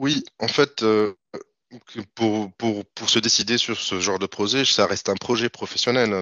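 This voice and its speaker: A man talks at a fairly low pitch and a fairly slow pace. He has an ordinary speaking voice with ordinary pitch variation. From Tunisia, Tunis. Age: 30s. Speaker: freelance IT developer. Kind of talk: interview.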